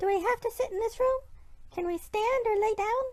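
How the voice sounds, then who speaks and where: A woman does a squeaky put-on character voice at an extremely high pitch, talking at a fairly quick pace with ordinary pitch variation. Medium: actual play. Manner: timid.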